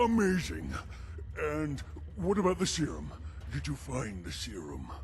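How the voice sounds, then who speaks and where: A man doing a put-on character voice over clear background noise. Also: moderate pace. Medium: video game. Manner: precise, scientific.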